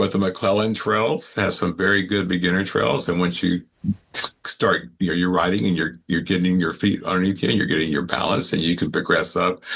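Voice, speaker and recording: Talking at a fairly quick pace, a man has a very deep, low pitch. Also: ordinary pitch variation, very even loudness. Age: 70s. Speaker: cycling club leader. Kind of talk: casual interview. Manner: halting, many fillers.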